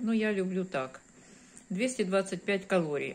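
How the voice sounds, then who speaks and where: A woman speaks with ordinary pitch variation over light background noise. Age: 50s. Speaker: video blogger. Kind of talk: casual vlog. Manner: warm, chatty. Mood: relaxed, friendly. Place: home room. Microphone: phone near.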